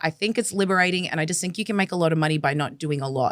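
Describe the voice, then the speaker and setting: A woman's fairly low voice in an Australian accent, with lively intonation. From Australia, Melbourne. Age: 20s. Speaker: former agency recruiter turned activist. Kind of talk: interview conversation.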